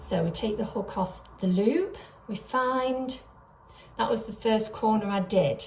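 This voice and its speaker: A woman speaks at a fairly slow pace in a fairly high pitch. Noticeable background noise can be heard. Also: ordinary pitch variation. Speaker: crochet pattern designer. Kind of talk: tutorial.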